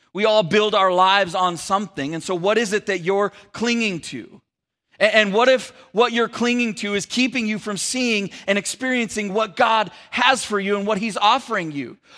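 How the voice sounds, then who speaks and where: A man with an American accent uses a raised, projected voice at a high pitch. His tone is bright and sharp, with ordinary pitch variation. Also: moderate pace. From Sacramento area, California. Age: 40s. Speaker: pastor. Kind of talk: sermon. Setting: church.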